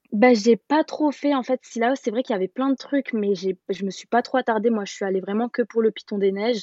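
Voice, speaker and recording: With a fairly high pitch and a dark, mellow tone, a woman talks at a fairly quick pace with hardly any pauses and ordinary pitch variation, in a dry, close sound with no echo. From Paris, France. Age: 20s. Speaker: traveller. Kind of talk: casual chat.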